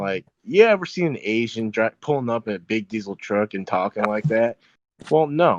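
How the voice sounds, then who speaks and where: In a dry, close sound with no echo, a man speaks at a moderate pace with a medium pitch and lively intonation. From United States. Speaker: podcast guest. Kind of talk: casual chat. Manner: halting.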